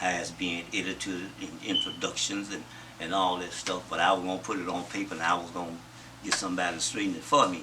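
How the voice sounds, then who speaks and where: Through noticeable background noise and audible room echo, a man with an American accent rattles off words at a very fast pace in a very deep, low, flat monotone. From US South. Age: 70s. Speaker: interviewee recounting his life. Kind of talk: interview.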